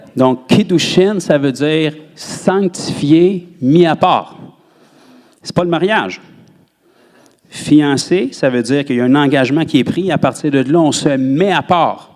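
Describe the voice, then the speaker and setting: A man with a Quebec accent at a fairly high pitch, a very slow pace, and long, frequent pauses. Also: ordinary pitch variation. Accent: Québécois French. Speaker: pastor. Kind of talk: sermon.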